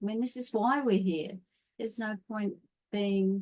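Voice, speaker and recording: A woman speaks in an Australian accent. Her tone is dark and mellow, with ordinary pitch variation. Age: 60s. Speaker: holistic health coach. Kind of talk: interview.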